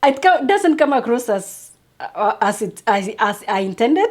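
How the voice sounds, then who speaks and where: With a non-native accent, a woman talks in a high voice whose pitch swings very widely. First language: not English. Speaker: YouTube creator, motivational speaker. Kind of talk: motivational talk to camera. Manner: halting, frequent repetitions.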